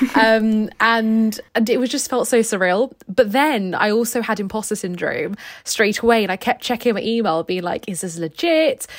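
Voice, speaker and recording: Speech in a British accent with ordinary pitch variation and hardly any pauses. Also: woman, fairly high pitch for a woman, moderate pace. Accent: British, described as posh and well spoken. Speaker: graduate entry medical student.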